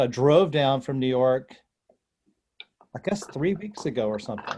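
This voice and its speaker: With a North Carolina accent, a man speaks at a fairly slow pace and medium pitch in a dark, mellow tone. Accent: North Carolina southern. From North Carolina (North Wilkesboro). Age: 70s. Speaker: actor and comedian. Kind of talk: casual interview chat.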